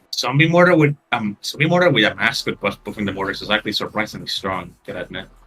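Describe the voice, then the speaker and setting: This man has a slight non-native accent, a medium pitch and a bright, sharp tone. He talks very fast with hardly any pauses and very wide pitch swings. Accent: slight, subtle non-native. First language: Spanish. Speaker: game tournament commentator. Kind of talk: live commentary.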